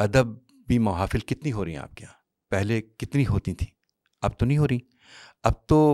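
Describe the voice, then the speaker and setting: The recording is very clean, with a silent background and a dry, close sound with no echo. A man speaks in a dark, mellow tone. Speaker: voice actor. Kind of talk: interview answer.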